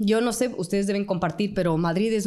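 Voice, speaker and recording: A woman speaks with an Ecuadorian accent. Her pace is fairly quick. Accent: Ecuadorian Spanish, unchanged. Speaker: journalist and radio presenter. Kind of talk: interview conversation.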